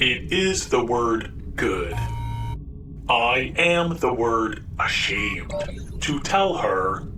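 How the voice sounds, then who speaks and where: A man's put-on character voice at a medium pitch, very slow with long, frequent pauses, against loud background noise. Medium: read story. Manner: formal, stilted, literal.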